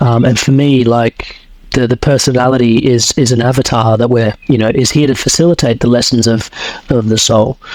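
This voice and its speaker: A man with an Australian accent speaks at a fairly quick pace in a medium-pitched voice, his intonation fairly even and his loudness very even, with noticeable background noise around him. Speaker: coach and podcaster. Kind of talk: podcast interview. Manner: hesitant, many fillers.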